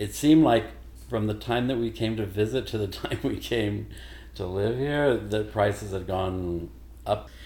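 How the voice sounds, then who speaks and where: In an American accent, a man speaks at a moderate pace with a fairly low pitch, lively intonation, and a somewhat breathy, dark, mellow tone. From Missouri, Joplin. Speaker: singer. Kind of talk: casual chat.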